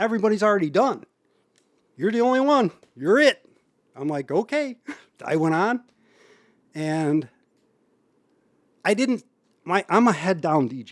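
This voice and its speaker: With a Chicago accent, a man speaks at a high pitch with very wide pitch swings and big swings in loudness. His pace is moderate with long, frequent pauses, and the sound is dry and close with no echo. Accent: Chicago area. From Berwyn, Illinois. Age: 50s. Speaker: house music DJ. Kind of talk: podcast interview answer. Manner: casual, conversational.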